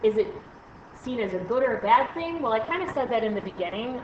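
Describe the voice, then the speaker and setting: Over noticeable background noise, a woman talks at a fairly quick clip. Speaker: math teacher. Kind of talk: recorded lesson screencast. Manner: fast; hesitant fillers.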